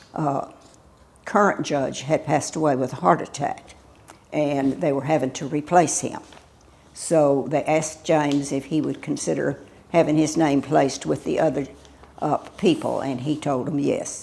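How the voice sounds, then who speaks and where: A dark, mellow tone in a Texan accent, moderate in pace, with fairly even intonation. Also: woman, very deep, low pitch for a woman. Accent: Texan (US Southern). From Texas, Houston area. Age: 80s+. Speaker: local elder, widow of a doctor and judge. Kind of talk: oral history interview. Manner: halting, many fillers.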